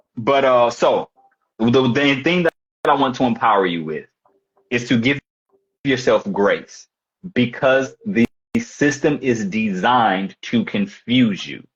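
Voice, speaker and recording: A man with an American accent speaks at a fairly slow pace and a medium pitch. His intonation is lively, broken by long, frequent pauses. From St. Louis, Missouri, US. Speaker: fitness coach. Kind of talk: live coaching call. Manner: halting, many restarts.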